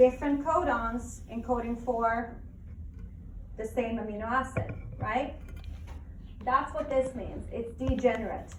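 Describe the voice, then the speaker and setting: Speaking at a fairly slow pace with long, frequent pauses, a woman with a high pitch and fairly even intonation swings widely in loudness, with noticeable background noise and audible room echo. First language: not English. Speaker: biology teacher. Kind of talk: lecture. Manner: conversational, questioning students.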